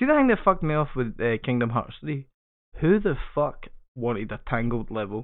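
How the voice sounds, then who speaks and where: A man with a Scottish accent talks at a moderate pace and medium pitch, his intonation lively. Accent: Scottish, noticeable. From Scotland. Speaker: podcast host. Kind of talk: casual banter podcast.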